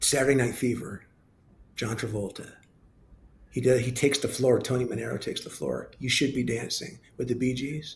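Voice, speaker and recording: With vocal fry and fairly even intonation, a man speaks at a medium pitch, leaving long, frequent pauses. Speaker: TV news anchor and sports play-by-play announcer. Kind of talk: interview answer. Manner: casual, chatty.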